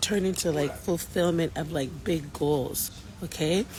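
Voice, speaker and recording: Over noticeable background noise, a woman speaks at a fairly slow pace in a very deep, low pitch. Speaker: faith-based abuse recovery vlogger. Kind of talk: casual vlog monologue. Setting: outdoors in Jamaica with people around. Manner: quiet, holding back volume; animated, encouraging.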